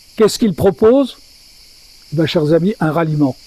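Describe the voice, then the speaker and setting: In a dry, close recording with no echo, the speaker goes at a fairly slow pace with lively intonation. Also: man. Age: 80s+. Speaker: lecturer at a literary meeting. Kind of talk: public talk. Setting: stage with audience. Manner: halting.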